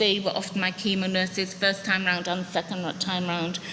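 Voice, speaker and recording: A woman speaks over noticeable background noise. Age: 60s. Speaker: patient sharing her story, former teacher. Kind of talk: testimony.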